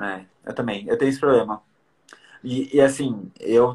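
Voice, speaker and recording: The voice belongs to a man. Its pitch is medium for him. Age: 20s. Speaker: podcast host. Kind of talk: casual chat.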